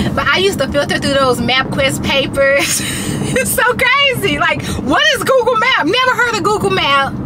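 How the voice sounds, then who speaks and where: A woman talks at a moderate pace, with loud noise filling the background. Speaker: vlogger. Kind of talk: casual vlog chat. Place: car. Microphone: phone near.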